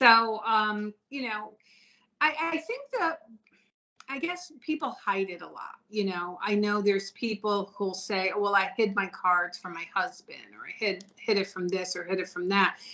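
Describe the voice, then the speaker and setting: A woman talks at a fairly slow pace with lively intonation. Her medium-pitched voice has a bright, sharp tone. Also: big swings in loudness. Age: 60s. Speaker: tarot reader and psychic medium. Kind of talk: casual interview chat.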